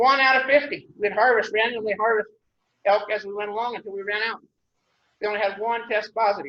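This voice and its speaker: A man with a western US accent, fairly quick pace and ordinary pitch variation. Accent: rural western US. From Wyoming, Douglas area. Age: old. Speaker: rancher giving public comment. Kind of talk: public comment at commission meeting. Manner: halting, repetitive restarts; blunt, emphatic.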